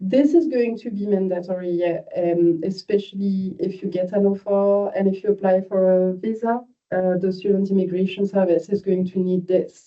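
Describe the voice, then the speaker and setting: A woman speaks with a French accent at a moderate pace. Her pitch is medium and her intonation fairly even. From France. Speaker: university admissions manager. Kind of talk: online information session. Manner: informal, hesitant with fillers.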